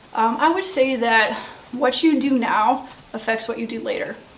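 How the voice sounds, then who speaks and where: A woman with an American accent, fairly high pitch and ordinary pitch variation, over noticeable background noise and audible room echo. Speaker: middle school teacher. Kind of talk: school interview.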